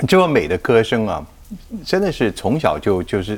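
A man with a fairly low voice talks at a moderate pace, his pitch swinging very widely. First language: Mandarin Chinese (speaking Japanese). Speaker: talk show host. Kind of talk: casual interview.

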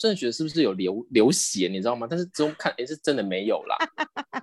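Talking at a very fast pace, a man uses vocal fry and very wide pitch swings, the sound dry and close with no echo. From Taiwan. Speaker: podcast guest, contestant sharing travel stories. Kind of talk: casual chat.

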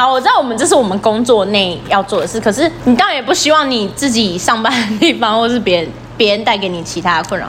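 Hardly pausing, a woman with a fairly high pitch speaks at a very fast pace amid audible room echo and noticeable background noise. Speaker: podcast co-host, service worker. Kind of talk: casual chat. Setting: empty shop after hours. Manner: loud.

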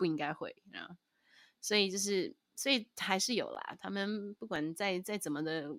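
Recorded very cleanly against a silent background, a woman speaks at a moderate pace with lively intonation and a dry, close sound free of echo. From Taiwan. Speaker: jazz singer and podcast co-host. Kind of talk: casual chat. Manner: animated, mixes Mandarin and English.

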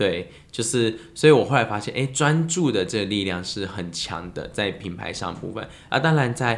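This man has a normal speaking voice at a medium pitch. He talks at a moderate pace with lively intonation and hardly any pauses. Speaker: lemon tea business owner. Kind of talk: casual chat.

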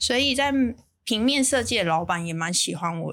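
Over a very clean recording with a silent background, a woman speaks at a moderate pace with lively intonation. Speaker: bakery chain founder. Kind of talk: interview. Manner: reading from notes at first, formal.

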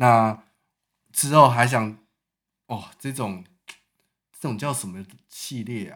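At a very slow pace with long, frequent pauses, a man of medium pitch speaks with ordinary pitch variation and big swings in loudness. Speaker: podcast host. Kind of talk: casual chat. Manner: animated.

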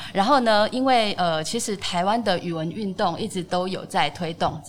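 Moderate pace and ordinary pitch variation. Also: woman. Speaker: literature professor and editor. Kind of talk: interview.

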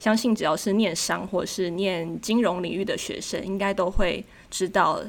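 Woman with a Taiwanese accent, medium pitch, vocal fry and ordinary pitch variation at a moderate pace, in a very clean recording with a silent background. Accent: Taiwanese Mandarin. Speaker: graduate student abroad. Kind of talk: casual interview.

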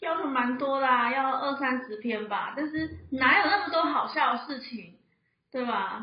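A woman speaks with a high pitch at a fairly slow pace. Room echo is audible. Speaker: pharmacy assistant. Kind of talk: casual chat. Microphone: too far from mic.

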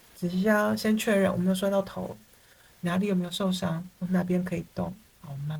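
Somewhat breathy speech moves at a fairly quick pace with ordinary pitch variation. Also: woman, big swings in loudness. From Taiwan. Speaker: psychotherapist. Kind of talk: interview.

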